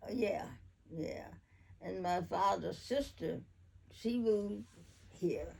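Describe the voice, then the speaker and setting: A woman with an American accent at a very slow pace, with long, frequent pauses. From Valley Township, Chester County, Pennsylvania. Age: 80s+. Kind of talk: interview answer.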